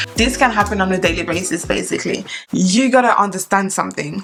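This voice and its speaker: A woman's voice at medium pitch with ordinary pitch variation, plus noticeable background noise. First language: French. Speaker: flight attendant and YouTuber. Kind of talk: tutorial.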